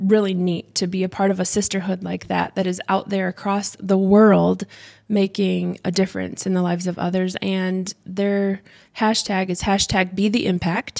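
A woman speaks in a monotone with flat intonation and an American accent. The recording is very clean, with a silent background. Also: medium pitch for a woman, moderate pace. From Michigan, US Midwest. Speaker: childcare center owner, former pageant queen. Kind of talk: casual interview chat.

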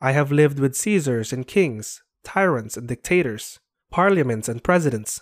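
With an unremarkable speaking voice, this man talks at a moderate pace with a fairly high pitch and lively intonation, on a very clean recording with a silent background. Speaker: narrator reading a preface aloud. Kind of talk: scripted reading of a 1930s sermon-style text, solemn and oratorical. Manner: solemn, measured, rhetorical, building in grandeur.

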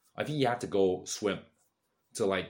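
Lively intonation in a British accent. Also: man. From UK. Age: 20s. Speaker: content creator. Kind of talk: casual monologue. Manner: halting.

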